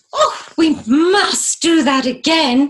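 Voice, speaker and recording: A put-on character voice, female-sounding and high in pitch for a woman. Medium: read story. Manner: bright, eager.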